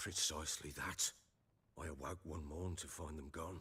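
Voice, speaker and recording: A man puts on a raspy character voice with a very deep, low pitch. He talks at a moderate pace in a flat monotone. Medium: video game. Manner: gruff, blunt.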